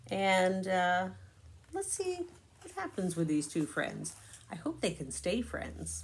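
A woman talks slowly with fairly low pitch. Her pitch swings a lot.

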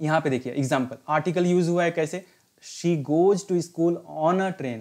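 A man with an unremarkable speaking voice and fairly even intonation. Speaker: English teacher and retired navy veteran. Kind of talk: lecture. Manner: instructive, mixing Hindi and English.

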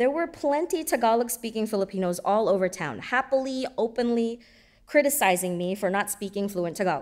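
Against a quiet background, a woman talks at a fairly quick pace and a fairly high pitch with lively intonation. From San Diego, California. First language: Bisayan and English. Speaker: storyteller. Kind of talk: storytelling performance. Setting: stage with audience. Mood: reflective, lightly humorous. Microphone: podium.

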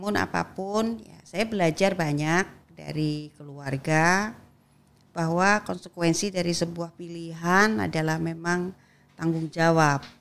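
A woman speaks at a very slow pace with a fairly low pitch and ordinary pitch variation. Her loudness swings widely. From Indonesia. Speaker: politician, legislator; guest. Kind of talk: interview conversation. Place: studio. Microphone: studio mic.

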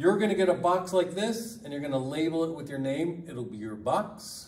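A high-pitched man talks at a moderate pace with ordinary pitch variation, audible room echo and light background noise. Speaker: lab instructor. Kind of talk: tutorial. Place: classroom. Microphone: camera far.

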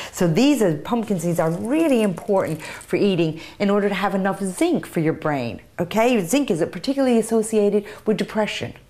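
A woman speaks at a medium pitch with lively intonation, hardly any pauses, and very even loudness. Music plays in the background. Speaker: nutrition expert. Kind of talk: interview.

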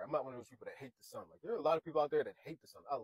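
A man talks against a quiet background. The sound is dry, with no echo. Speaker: vlogger. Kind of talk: casual vlog chat. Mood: sad, earnest encouragement. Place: car. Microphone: lapel.

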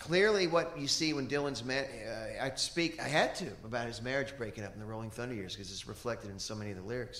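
Talking at a very fast pace with lively intonation, a man with an American accent is heard in a room with audible echo. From US South, Kentucky. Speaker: musician; guest. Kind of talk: interview on stage. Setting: stage with audience. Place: stage. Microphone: handheld.

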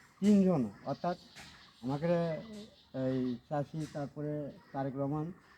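A man speaks in a fairly high pitch over noticeable background noise. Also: ordinary pitch variation. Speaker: villager. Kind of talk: street interview.

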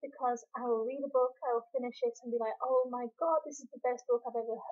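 A woman speaks quietly at a high pitch, her intonation fairly even. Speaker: book reviewer. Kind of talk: casual talk to camera.

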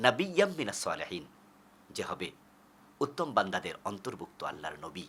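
A man with a fairly high pitch speaks in a bright, sharp tone with vocal fry and very wide pitch swings. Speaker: Islamic preacher. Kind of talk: sermon.

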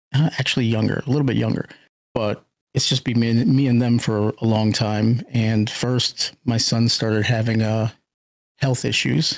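A man with an unremarkable speaking voice talks at a moderate pace and medium pitch, with fairly even intonation and very even loudness. The recording is very clean, with a silent background. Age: middle-aged. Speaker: Twitch streamer. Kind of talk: casual interview.

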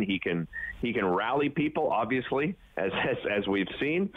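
With a Canadian accent, a man talks at a medium pitch against noticeable background noise. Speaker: TV host. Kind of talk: casual chat. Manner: halting, many fillers.

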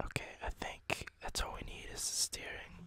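A whisper at a fairly slow pace. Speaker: gameplay commentator. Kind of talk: casual gameplay commentary, ASMR let's play. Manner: whispered, soft. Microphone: studio mic.

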